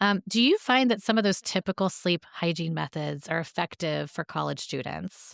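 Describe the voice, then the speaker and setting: On a very clean recording with a silent background and a dry, close sound with no echo, a woman speaks at a fairly low pitch and moderate pace with vocal fry, ordinary pitch variation and hardly any pauses. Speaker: podcast host and therapist. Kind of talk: interview.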